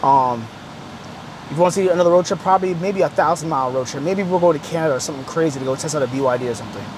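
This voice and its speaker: A man's pitch varies in an ordinary way while noticeable noise sits in the background. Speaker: car YouTuber. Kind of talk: casual vlog review. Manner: halting, repetitive; casual, slangy.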